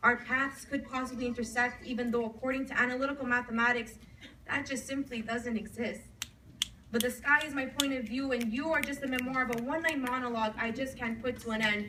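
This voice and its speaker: The speech moves at a fairly quick pace in a monotone, flat intonation. There is noticeable background noise. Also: woman, high pitch for a woman. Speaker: slam poet. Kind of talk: slam poetry performance. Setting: live coffee house event. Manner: emotional, intense.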